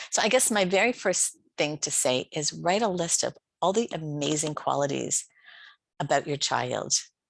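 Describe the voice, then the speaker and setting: The voice has vocal fry. The sound is dry and close, without echo. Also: woman. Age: 60s. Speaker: life coach. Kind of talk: conference talk. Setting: online conference.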